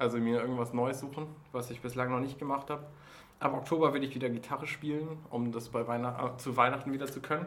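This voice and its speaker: Through audible room echo, a man at medium pitch talks at a very fast pace in a monotone, flat intonation. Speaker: podcast host. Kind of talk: casual chat. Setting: office during lunch break.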